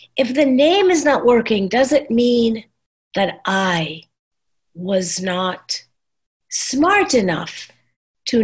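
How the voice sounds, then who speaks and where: A woman speaks at a very slow pace with very wide pitch swings. Her voice is somewhat breathy. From Trinidad. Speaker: nonprofit founder. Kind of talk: casual discussion.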